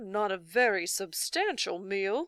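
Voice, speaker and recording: A woman at a medium pitch does a put-on character voice at a fairly slow pace, on a very clean recording with a silent background. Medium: read story. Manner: loud, pompous.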